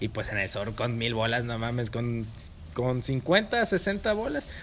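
The speaker talks at a very slow pace with a Mexican accent. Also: man. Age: 20s. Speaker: chef. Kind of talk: casual chat.

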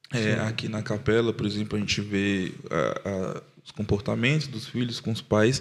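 Speaking at a moderate pace with hardly any pauses, a man uses a fairly low pitch, ordinary pitch variation and vocal fry. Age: 20s. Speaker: podcast producer and father. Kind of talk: casual chat.

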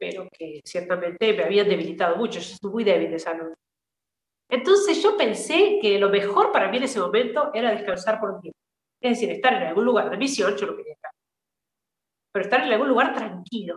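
A woman in an Argentine accent, fairly high in pitch, with lively intonation and big swings in loudness. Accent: Argentine Spanish (voseo). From Argentina, San Luis province. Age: 40s. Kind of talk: interview testimony.

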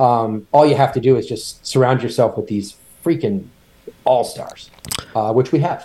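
Here a man speaks with a dark, mellow, somewhat breathy voice at a medium pitch and ordinary pitch variation. He keeps a moderate pace but leaves long, frequent pauses. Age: 50s. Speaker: company founder and CEO. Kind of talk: interview.

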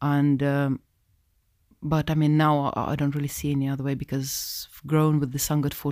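A woman speaks in a Russian accent, her voice very deep and low and monotone with flat intonation, at a moderate pace. The recording is very clean, with a silent background. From Russia (Moscow). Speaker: Sikh community educator. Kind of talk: interview.

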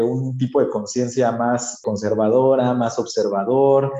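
This man speaks with a Mexican accent at a very slow pace, his medium-pitched voice dark and mellow in tone. Audible room echo surrounds the recording. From Oaxaca, Mexico. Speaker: social entrepreneur. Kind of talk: casual interview.

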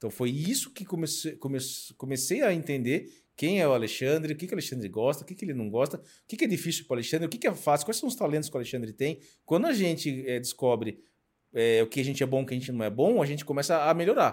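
A man talks very fast in a fairly high voice, his intonation lively. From Brazil, São Paulo state (Sorocaba). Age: 40s. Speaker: motivational speaker and mentor. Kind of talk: interview, personal story.

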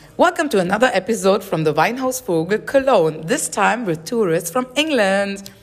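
A woman at a moderate pace, with very wide pitch swings, hardly any pauses, and music in the background. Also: medium pitch for a woman. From southern Germany. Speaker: podcast host interviewing tourists. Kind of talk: casual chat. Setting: wine bar.

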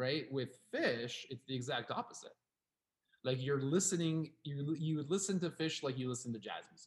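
At a moderate pace, a somewhat breathy man speaks at a fairly high pitch, with ordinary pitch variation and big swings in loudness. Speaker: podcast co-host. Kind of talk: casual chat. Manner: animated.

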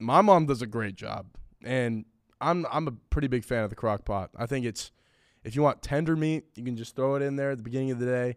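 With an American accent, a man talks fairly quickly in an ordinary speaking voice, at medium pitch with ordinary pitch variation. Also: very clean recording, silent background. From California. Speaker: college student guest. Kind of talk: casual chat.

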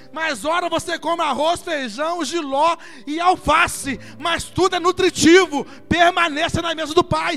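Speaking at a fairly slow pace in a raised, projected voice, a man has an extremely high pitch, a bright, sharp tone and fairly even intonation. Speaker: pastor. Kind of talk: sermon. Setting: church.

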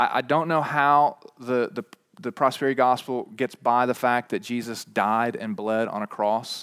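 Medium in pitch, a man speaks at a moderate pace with ordinary pitch variation. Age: 40s. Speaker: pastor. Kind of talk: sermon. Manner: halting.

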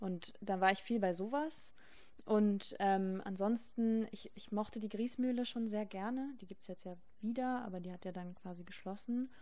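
A woman speaks at a moderate pace with a dark, mellow tone and a fairly high pitch. Her pitch varies in an ordinary way, while her loudness swings widely. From Berlin. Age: 20s. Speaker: student, DJ's girlfriend. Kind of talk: casual chat. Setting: studio.

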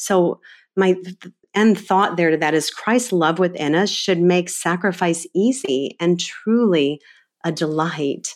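In a very clean recording with a silent background, a woman talks fairly slowly in an unremarkable speaking voice, fairly low in pitch, with ordinary pitch variation. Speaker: homemaking blogger and podcaster. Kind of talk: casual chat.

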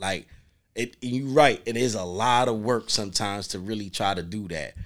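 The background is silent and the recording very clean. The voice belongs to a man. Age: 40s. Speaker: podcast co-host. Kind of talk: casual chat. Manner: animated.

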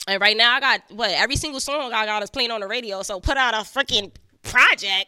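A woman with a New York accent, bright and sharp in tone, fairly high in pitch, very fast, with ordinary pitch variation. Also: dry, close sound with no echo. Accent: New York (Bronx). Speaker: rapper. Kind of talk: casual interview chat.

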